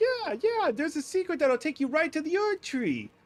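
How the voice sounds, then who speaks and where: The speaker puts on a high-pitched character voice. It moves at a moderate pace. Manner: sly, deceitful.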